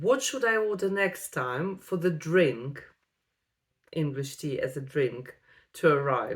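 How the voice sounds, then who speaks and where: A woman with a non-native accent talks at a very slow pace, leaving long, frequent pauses. Her pitch swings very widely. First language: Russian. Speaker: vlogger. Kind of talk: personal vlog storytelling. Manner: hesitant, with frequent fillers.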